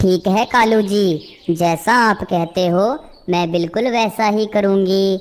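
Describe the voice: A cartoonish character voice that sounds female moves at a fairly slow pace with a medium pitch for a woman.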